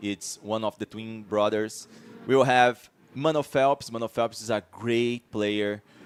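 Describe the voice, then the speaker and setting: With music in the background, a man speaks in a Portuguese accent at medium pitch and a fairly slow pace, with fairly even intonation and a dry, close sound that has no echo. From Brazil. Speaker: esports commentator. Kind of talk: live commentary. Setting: live event stream. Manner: halting.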